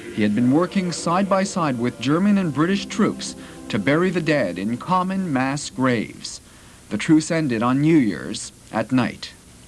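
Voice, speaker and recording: Over music in the background, a man speaks at a fairly slow pace. His pitch is fairly high and swings very widely. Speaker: TV news reporter. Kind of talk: TV news report.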